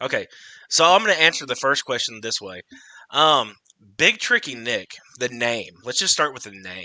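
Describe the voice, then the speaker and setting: A man's bright, sharp voice at medium pitch and moderate pace, with lively intonation, big swings in loudness, and long, frequent pauses. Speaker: TikTok creator and podcast host. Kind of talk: casual chat. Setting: livestream.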